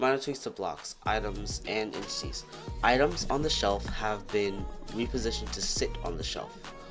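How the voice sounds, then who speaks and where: Music in the background behind a man's voice at a moderate pace. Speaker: gaming video creator. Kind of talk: casual gaming commentary. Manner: sleepy, slurred.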